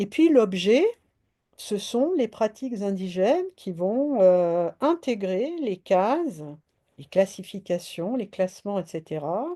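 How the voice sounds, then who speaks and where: A woman's dark, mellow voice with very wide pitch swings at a very slow pace, over a quiet background. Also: medium pitch for a woman. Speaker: philosopher and lecturer. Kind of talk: lecture. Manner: halting with many fillers.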